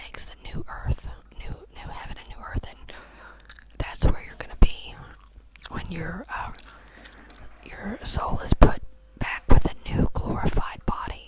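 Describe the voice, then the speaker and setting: Whispering at a fairly slow pace, a man leaves long, frequent pauses, his loudness swinging widely over noticeable background noise. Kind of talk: ASMR whisper Q&A chatting. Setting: studio, chewing gum near microphone. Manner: whispered, relaxing, slow.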